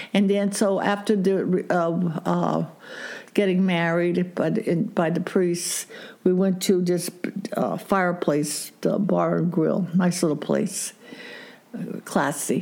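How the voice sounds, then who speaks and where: Very slowly and with monotone, flat intonation, a woman speaks at a fairly low pitch and a very even loudness. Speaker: grandmother interviewed about her marriage. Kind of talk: interview, storytelling.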